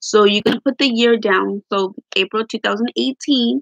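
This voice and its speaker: A woman's voice with vocal fry, in a dry, close sound with no echo. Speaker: budgeting vlogger. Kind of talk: tutorial. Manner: casual, rambling with fillers.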